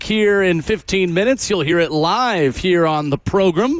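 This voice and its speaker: A high male voice at a moderate pace, with noticeable background noise. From Middle Tennessee. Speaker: sports radio host. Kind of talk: sports talk radio.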